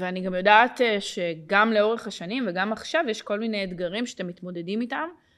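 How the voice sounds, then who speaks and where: A woman speaks at a moderate pace with medium pitch and ordinary pitch variation, in an ordinary speaking voice. The recording is very clean, with a silent background. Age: 30s. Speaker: podcast host and life coach. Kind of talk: casual interview.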